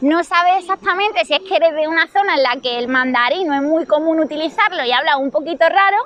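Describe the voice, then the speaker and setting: With noticeable background noise, a woman speaks at an extremely high pitch and a very fast pace, with ordinary pitch variation and hardly any pauses. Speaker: YouTuber living abroad. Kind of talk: casual chat.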